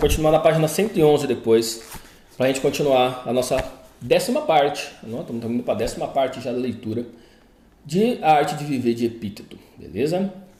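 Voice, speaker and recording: Fairly high-pitched and fairly quick, a man talks in a plain, everyday voice with lively intonation. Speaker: therapist. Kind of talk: casual talk to viewers; commented reading. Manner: informal, conversational.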